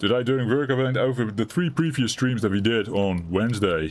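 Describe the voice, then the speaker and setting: With a non-native accent and a relaxed tone, a man speaks at a moderate pace with ordinary pitch variation over noticeable background noise. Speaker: gaming streamer. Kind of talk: live gameplay commentary. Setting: live stream. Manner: chill, relaxed.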